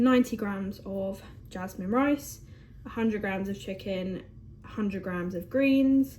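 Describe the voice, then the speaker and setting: With audible room echo, a woman in an English accent speaks at a fairly slow pace, using a medium pitch and ordinary pitch variation. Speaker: bodybuilder and fitness vlogger. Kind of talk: casual vlog. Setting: at home.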